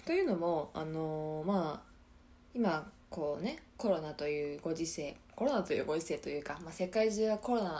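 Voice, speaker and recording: At a moderate pace, a woman speaks with a fairly low pitch, ordinary pitch variation and a dark, mellow tone. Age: 20s. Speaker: podcast host, systems engineer. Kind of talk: casual solo talk. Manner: halting.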